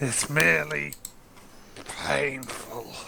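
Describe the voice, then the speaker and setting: A man puts on a raspy character voice at a medium pitch, with very wide pitch swings. Audible echo hangs around it. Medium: actual play.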